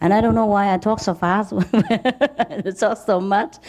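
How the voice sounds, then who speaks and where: A woman's plain, everyday voice, medium in pitch, fairly slow and with lively intonation. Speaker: spiritual teacher. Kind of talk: lecture. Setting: lecture hall with interpreters.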